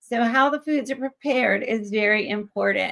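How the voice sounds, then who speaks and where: A woman with an American accent speaks at a fairly slow pace. Hers is an unremarkable speaking voice with ordinary pitch variation. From US South (Georgia and Alabama). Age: 60s. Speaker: chef and cookbook author. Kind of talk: interview.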